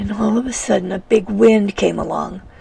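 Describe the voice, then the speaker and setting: A woman's voice amid noticeable background noise. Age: 70s. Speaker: storyteller. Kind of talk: personal memoir storytelling.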